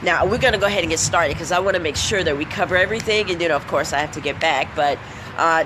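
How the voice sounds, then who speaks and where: Over noticeable background noise, a woman at medium pitch talks in an animated tone at a very fast pace. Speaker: motivational speaker. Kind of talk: live-stream motivational talk. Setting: outdoors under a shed, live video.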